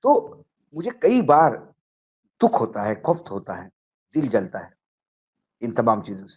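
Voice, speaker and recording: In a Marathi accent, the voice shows vocal fry, very wide pitch swings, big swings in loudness and long, frequent pauses. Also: man, fairly high pitch for a man. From Maharashtra, India. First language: Marathi (speaking Hindi). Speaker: political journalist. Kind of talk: political talk show discussion.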